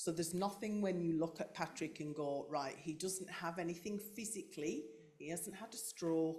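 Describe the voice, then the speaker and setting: With a Yorkshire accent, a woman speaks at a fairly low pitch and moderate pace, her pitch varying in an ordinary way. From North Yorkshire, England. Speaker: carer of brain-injured partner, clinician. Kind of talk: panel discussion.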